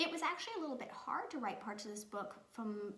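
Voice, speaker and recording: A woman speaks at a fairly high pitch, and the room echo is audible. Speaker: children's book author. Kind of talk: video talk to children. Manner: loud; chatty.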